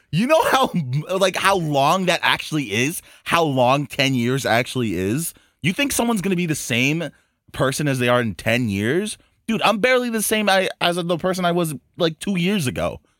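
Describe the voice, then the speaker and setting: On a very clean recording with a silent background, a man with a high pitch speaks at a moderate pace, his pitch swinging very widely. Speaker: podcast host. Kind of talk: casual chat. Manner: animated.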